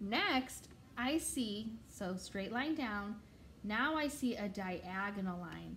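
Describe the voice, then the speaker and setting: Very slowly and with lively intonation, a woman speaks at a medium pitch, with noticeable background noise and audible room echo. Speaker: preschool or kindergarten teacher. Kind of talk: tutorial. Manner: animated.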